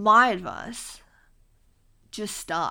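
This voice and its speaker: Very slowly, a woman speaks with an Australian accent. Her tone is bright and sharp, and her intonation lively. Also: very clean recording, silent background. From Australia, Queensland (Mackay). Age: 20s. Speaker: podcast host, university student. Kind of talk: casual solo monologue. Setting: home recording on laptop mic, lying on floor. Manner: casual, chatty with filler ums.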